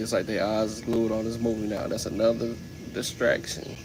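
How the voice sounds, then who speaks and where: Amid noticeable background noise and audible room echo, a man talks at a moderate pace with a medium pitch. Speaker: livestreamer. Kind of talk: casual livestream talk. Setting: live stream.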